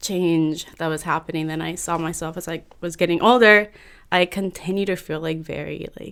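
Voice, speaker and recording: A woman with a Californian accent speaks at a moderate pace and a fairly low pitch, her intonation fairly even. Her loudness swings widely on a very clean recording with a silent background. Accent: Californian American English. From San Francisco Bay Area, California. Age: 20s. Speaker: podcast guest. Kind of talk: casual interview chat.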